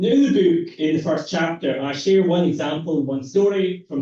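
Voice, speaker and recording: A man's fairly high voice is somewhat breathy with a dark, mellow tone. He keeps a moderate pace and ordinary pitch variation. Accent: Scottish. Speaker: academic researcher. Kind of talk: lecture.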